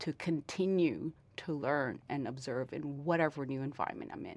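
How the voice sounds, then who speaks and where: A woman speaks with a Vietnamese accent. Her pitch variation is ordinary. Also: quiet background. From Vietnam, Ho Chi Minh City, then Toronto from age ten. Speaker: lawyer. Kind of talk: interview conversation. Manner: halting, many fillers and repetitions.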